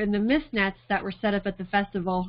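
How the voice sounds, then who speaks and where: The woman's delivery is monotone, with flat intonation throughout. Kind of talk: lecture. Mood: warm, amused. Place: home room. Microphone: webcam.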